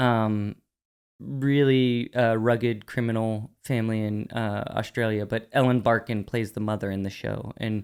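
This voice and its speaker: Speaking at a fairly slow pace, a man keeps a medium pitch and fairly even intonation. The recording is very clean, with a silent background. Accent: American. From US, Pittsburgh. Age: 40s. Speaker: artist and curator. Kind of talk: casual interview chat.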